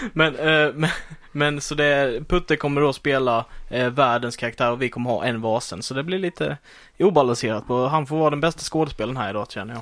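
The background is silent on a very clean recording. A man talks at a fairly quick pace. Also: medium pitch for a man, ordinary pitch variation. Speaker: podcast co-host. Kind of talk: casual chat.

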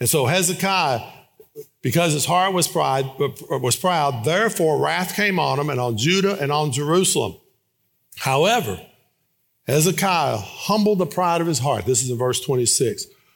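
A man with a fairly high pitch talks at a moderate pace in an unremarkable speaking voice. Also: lively intonation. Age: 60s. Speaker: guest preacher. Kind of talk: sermon. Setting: church.

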